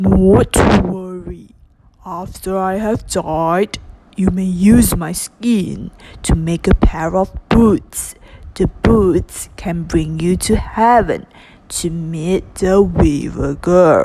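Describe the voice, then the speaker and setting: Putting on a character voice, a woman speaks at a very slow pace with a medium pitch. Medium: read story. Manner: gentle, comforting.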